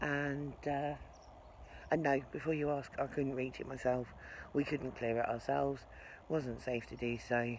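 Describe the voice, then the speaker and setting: A woman's very deep, low voice with an English accent, flat monotone intonation, a fairly slow pace, and long, frequent pauses. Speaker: narrowboat vlogger. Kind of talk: vlog narration. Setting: outdoors. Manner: soft-spoken; casual.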